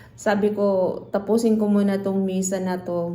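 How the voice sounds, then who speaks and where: A woman at a medium pitch talks at a fairly slow pace in a monotone, flat intonation, with audible room echo. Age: 50s. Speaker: vlogger and computer shop owner. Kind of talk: casual vlog talk. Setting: at home, partly outdoors in rain.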